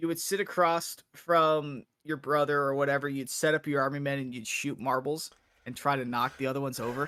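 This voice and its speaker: A man with a fairly high pitch and a fairly quick pace. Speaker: podcast co-host. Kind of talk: casual chat. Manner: fast.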